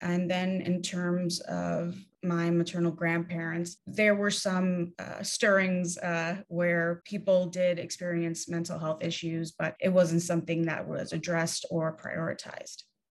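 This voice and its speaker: A woman with an American accent, fairly low pitch and monotone, flat intonation, with hardly any pauses. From New York City, Spanish Harlem. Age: 30s. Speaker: mental health activist. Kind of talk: interview.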